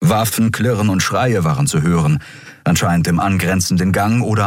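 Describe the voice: Someone reads aloud plainly. Intonation moves in a lively way.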